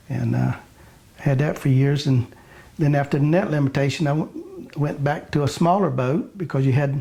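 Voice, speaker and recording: A man with a Florida accent, a fairly high pitch, a moderate pace and very even loudness. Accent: Southern US, Florida. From Pine Island, Florida. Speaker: commercial fisherman. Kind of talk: interview answer.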